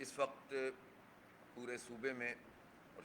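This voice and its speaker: A man talks at a medium pitch. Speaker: provincial head of a political party, press conference speaker. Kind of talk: political press conference speech.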